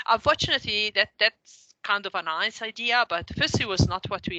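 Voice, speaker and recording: With an Italian accent and a bright, sharp tone, a woman speaks at a moderate pace in a dry, close sound with no echo. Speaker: professor. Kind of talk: lecture. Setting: video call. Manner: halting.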